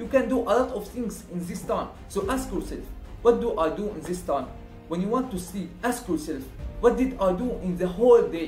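A high-pitched male voice with audible room echo and faint music in the background. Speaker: motivational vlogger. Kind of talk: casual vlog chat. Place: home room.

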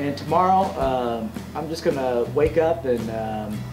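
A man is talking, and clear music can be heard in the background. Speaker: travel vlogger. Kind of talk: casual vlog chat. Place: home room. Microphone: phone near.

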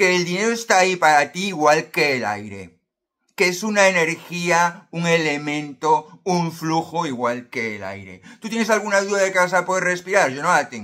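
Over a quiet background, a man speaks at a moderate pace with a high pitch. His tone is bright and sharp, and his intonation is lively. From Spain, Galicia (A Coruña); Galicia, Spain. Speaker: self-help youtuber. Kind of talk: motivational monologue to camera. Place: home room. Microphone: phone near.

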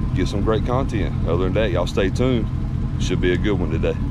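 Over loud background noise, a man talks very fast in a dry sound with no echo. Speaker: off-road vlogger. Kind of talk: casual vlog chat. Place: open country. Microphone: phone near.

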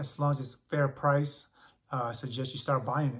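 Somewhat breathy, a man speaks at a fairly quick pace. The background is quiet. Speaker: comic book collector. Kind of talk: casual vlog chat. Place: home room. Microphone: phone near.

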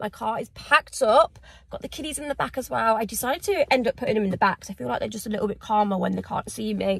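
Against a quiet background, a woman talks at a very fast pace, the sound dry with no echo. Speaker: vlogger. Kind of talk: casual vlog chat. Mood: excited, emotional. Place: car. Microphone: phone near.

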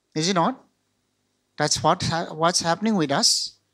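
A man speaks at a moderate pace. He has a Northeast Indian accent. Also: quiet background. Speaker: pastor. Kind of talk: sermon. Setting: video call. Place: church. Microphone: handheld.

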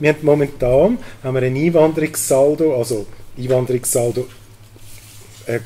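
With light background noise present, the man keeps a moderate pace and his pitch varies in an ordinary way. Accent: Zurich. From Switzerland, Zurich region. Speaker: cantonal politician. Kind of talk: panel debate. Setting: stage with audience. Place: hall. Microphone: handheld.

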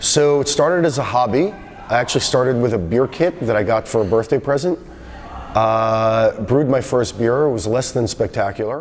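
Over light background noise, a man talks at a moderate pace with ordinary pitch variation and very even loudness. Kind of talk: interview answer. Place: factory.

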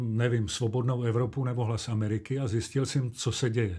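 In a very clean recording with a silent background, a man at medium pitch speaks at a moderate pace, his tone dark, mellow and somewhat breathy. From Czechia, Olomouc (Moravia). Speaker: actor and dubbing director. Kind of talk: interview.

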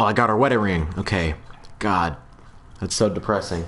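Audible room echo surrounds a man as he speaks. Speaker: gaming streamer. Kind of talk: live gameplay commentary. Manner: animated.

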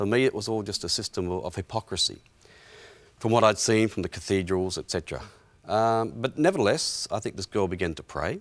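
A man with an Australian accent speaks at a fairly quick pace, with a fairly low pitch and ordinary pitch variation. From Western Australia, rural. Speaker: historian and author; interview guest. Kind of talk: interview, personal testimony. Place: studio. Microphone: lapel.

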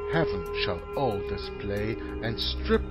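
Music in the background beneath a man's very slow delivery. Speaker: reader of religious poetry. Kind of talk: dramatic poetry reading with background music.

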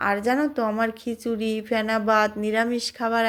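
The background is silent on this very clean recording. A woman talks at a fairly high pitch. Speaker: home cooking vlogger. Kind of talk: casual cooking vlog talk.

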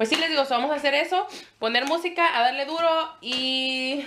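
A woman speaks in a raised, projected voice with an animated tone. Her delivery is bright and sharp at a moderate pace. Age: 20s. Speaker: family vlogger. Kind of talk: casual vlog talk to camera.

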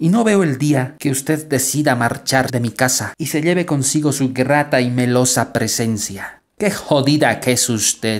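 The tone is theatrical, and the pace is fairly slow. There are hardly any pauses. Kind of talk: poem performed, a playful mock-romantic address to personified laziness. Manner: teasing, jocular, theatrical; shifts between mock-scolding and tender, wistful tone.

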